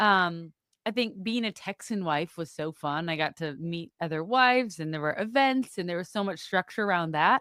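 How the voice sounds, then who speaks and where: A bright, sharp tone with lively intonation and a slight Wisconsin accent at a moderate pace, dry and close with no echo, on a very clean recording with a silent background. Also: woman, fairly low pitch for a woman. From US Midwest, Wisconsin (Madison suburb). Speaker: podcast guest, mother. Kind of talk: casual chat. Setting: studio.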